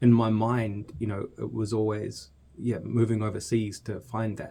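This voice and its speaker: Flat and monotone, a man's dark, mellow voice sits fairly low in pitch and moves at a moderate pace. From New Zealand (Hamilton). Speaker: podcast producer. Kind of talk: casual chat. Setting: studio. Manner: halting.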